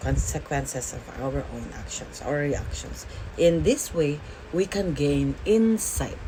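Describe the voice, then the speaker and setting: Noticeable background noise accompanies a woman who speaks at a very slow pace. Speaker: makeup and bible vlogger. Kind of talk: makeup tutorial with life lessons. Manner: casual, filler-heavy (okay, like, all right).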